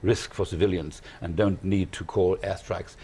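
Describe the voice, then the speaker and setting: This man has a dark, mellow tone and a fairly low pitch, somewhat breathy. He talks at a fairly quick pace with ordinary pitch variation. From Germany. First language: German. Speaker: journalist. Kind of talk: panel discussion.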